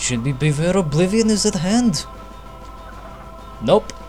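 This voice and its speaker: Moderate-paced male speech over background music. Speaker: gaming YouTuber. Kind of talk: gameplay commentary. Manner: casual.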